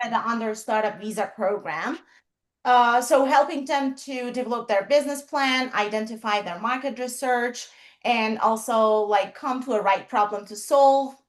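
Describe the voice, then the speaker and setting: A woman with a Persian accent talks at a moderate pace. Her high pitch shows ordinary variation. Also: quiet background. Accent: Persian (Iranian) accent in English. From Iran. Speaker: HR professional and startup consultant. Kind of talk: interview on a livestream.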